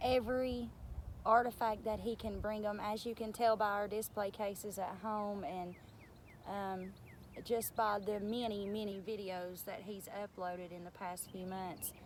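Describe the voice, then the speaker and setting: Speaking with a strong Appalachian accent, a woman uses fairly even intonation at a medium pitch and a fairly slow pace. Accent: thick Southern Appalachian country. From East Tennessee. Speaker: arrowhead hunting channel co-host. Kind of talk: casual talk to camera. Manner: casual, with many filler words.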